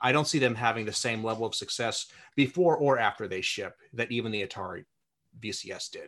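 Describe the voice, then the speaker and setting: Against a quiet background, a man with a plain, everyday voice speaks at medium pitch and a fairly quick pace, with ordinary pitch variation. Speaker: podcast host. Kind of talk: interview.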